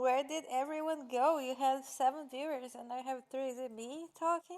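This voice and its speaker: With a non-native accent, the speaker talks at a moderate pace using fairly even intonation. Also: woman, high pitch for a woman, big swings in loudness. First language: not English. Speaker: fellow streamer. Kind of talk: casual chat.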